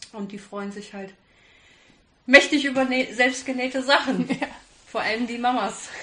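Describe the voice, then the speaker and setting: Long, frequent pauses break up a woman's fairly slow speech. Her pitch is high. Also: fairly even intonation. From Kassel, Germany. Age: 30s. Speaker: hobby sewist. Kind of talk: casual interview. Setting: sewing weekend retreat.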